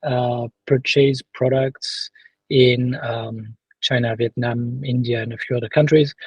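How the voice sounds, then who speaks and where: A man speaks at medium pitch and a moderate pace, somewhat breathy, with monotone, flat intonation. The sound is dry and close, with no echo. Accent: French. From France. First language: French. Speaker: sourcing and quality assurance consultant. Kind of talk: interview. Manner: halting, many fillers and repetitions.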